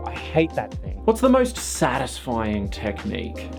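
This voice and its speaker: Music plays in the background as a man speaks with an Australian accent. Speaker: costume maker. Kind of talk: casual talk to camera.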